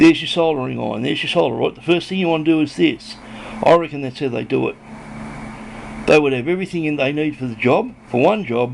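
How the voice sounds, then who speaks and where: A man with an Australian accent talks at a very fast pace with lively intonation over noticeable background noise. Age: 60s. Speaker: hobbyist electronics builder. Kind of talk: casual show-and-tell video. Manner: rambling, hesitant with fillers.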